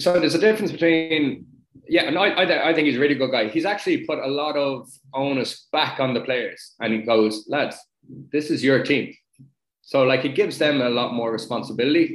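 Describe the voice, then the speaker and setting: Spoken with a Dublin accent, the voice moves at a fairly quick pace with ordinary pitch variation. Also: man, fairly high pitch for a man. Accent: Dublin Irish. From Dublin, north side (Sutton). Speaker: retired rugby player. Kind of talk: casual interview.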